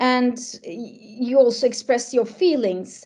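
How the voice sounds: A woman's fairly high-pitched voice, dark and mellow in tone, at a fairly slow pace with ordinary pitch variation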